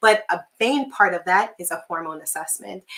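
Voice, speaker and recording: A woman's bright, sharp voice at a moderate pace, with ordinary pitch variation. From Jamaica. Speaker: physician. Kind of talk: live webinar presentation. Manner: filler-heavy, conversational.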